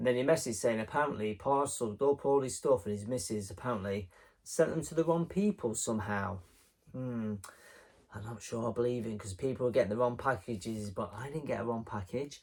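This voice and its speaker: Medium-pitched man with an English accent, fairly quick pace, ordinary pitch variation and big swings in loudness. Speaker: retro game collector YouTuber. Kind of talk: casual vlog. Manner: rambling, conversational.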